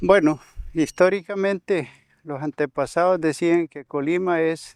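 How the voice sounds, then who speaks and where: A man at a fairly slow pace, fairly even intonation, dry close sound with no echo, and a quiet background. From El Salvador, Suchitoto area. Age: 60s. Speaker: conflict survivor, former soldier, community leader. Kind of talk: testimony. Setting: on location in rural community. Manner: halting, repeats words.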